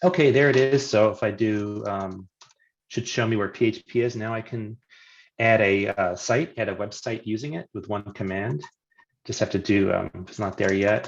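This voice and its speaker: A normal speaking voice from a man, fairly low in pitch, with ordinary pitch variation at a moderate pace over a quiet background. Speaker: software consultant presenting a webinar. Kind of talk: live technical demo webinar.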